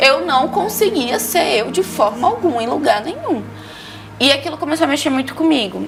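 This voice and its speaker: A woman speaks loudly with a Maranhão accent and lively intonation. Music plays in the background. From Maranhão, Brazil. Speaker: entrepreneur giving faith testimony. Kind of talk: testimony. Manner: fast.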